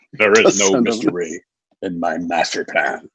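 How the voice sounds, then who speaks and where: A man's put-on character voice, fairly low in pitch. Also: moderate pace. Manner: ominous.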